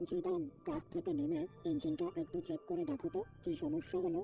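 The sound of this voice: A man performs a cartoonish character voice at a moderate pace with very even loudness. Background noise is clearly audible.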